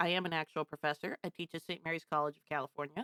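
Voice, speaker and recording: Against a silent background, the very clean recording captures a woman talking fairly quickly. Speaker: professor and game streamer. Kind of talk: live stream chat and game analysis.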